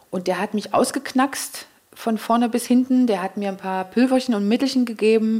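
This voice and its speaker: Here a woman has an unremarkable speaking voice with fairly high pitch. Her pitch variation is ordinary and her pace moderate. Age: 40s. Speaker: event manager. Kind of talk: interview. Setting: at her home.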